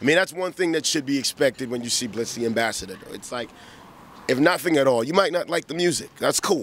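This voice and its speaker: A man's fairly high voice with lively intonation at a very fast pace. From Ghana. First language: Twi. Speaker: rapper. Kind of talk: interview. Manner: animated.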